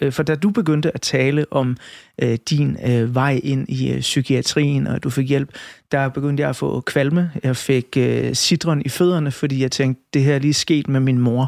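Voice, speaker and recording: On a very clean recording with a silent background, a man in a normal speaking voice talks at a fairly slow pace and fairly high pitch, with fairly even intonation and very even loudness. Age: 40s. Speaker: radio host. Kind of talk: interview.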